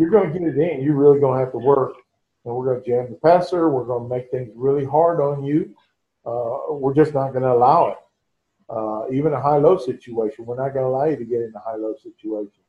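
At a very fast pace, a man speaks in a medium-pitched, somewhat breathy voice with ordinary pitch variation. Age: 60s. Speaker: veteran high school basketball coach. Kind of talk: casual chat. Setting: video call.

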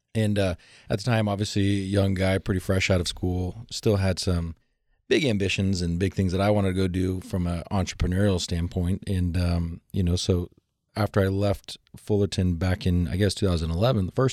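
Recorded very cleanly against a silent background, a man with a very deep, low pitch and a dark, mellow tone speaks in a monotone, flat intonation. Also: moderate pace. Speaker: financial advisor. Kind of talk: radio interview.

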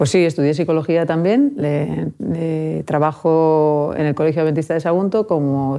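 A woman speaks at a moderate pace in a very deep, low voice with a dark, mellow tone. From Alicante, Spain. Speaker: school psychologist. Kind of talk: interview.

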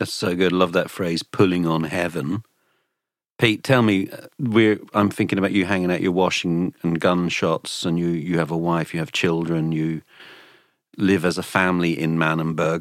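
This man has a very deep, low pitch and fairly even intonation at a moderate pace. The recording is very clean and the background silent. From Ireland.

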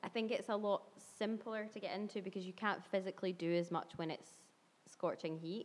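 Talking at a fairly quick pace, a woman has an unremarkable speaking voice at medium pitch with fairly even intonation. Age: 20s. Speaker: yoga instructor and blogger. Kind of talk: casual chat.

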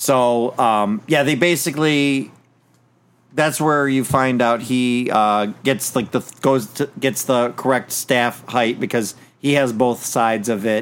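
A man with an ordinary speaking voice talks at a medium pitch and very even loudness. The recording is very clean, with a silent background. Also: ordinary pitch variation, fairly slow pace. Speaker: podcast host. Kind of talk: casual chat.

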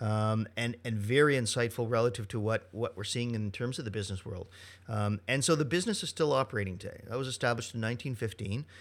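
At a very fast pace, a man with a medium-pitched voice speaks on a very clean recording with a silent background. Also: ordinary pitch variation. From Ontario, Canada (Dundas, near Hamilton). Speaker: chef and culinary professor. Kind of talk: interview. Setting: studio.

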